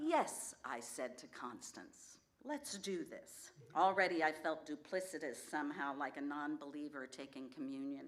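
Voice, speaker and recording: Amid audible room echo, a woman with a very deep, low pitch speaks at a moderate pace with ordinary pitch variation and big swings in loudness. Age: 60s. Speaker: storyteller. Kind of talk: live storytelling performance. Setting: stage with audience.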